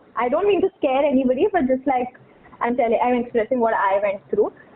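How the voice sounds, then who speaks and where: Talking at a fairly quick pace, a woman uses a high voice with very wide pitch swings against noticeable background noise. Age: 20s. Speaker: podcast guest. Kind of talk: casual chat.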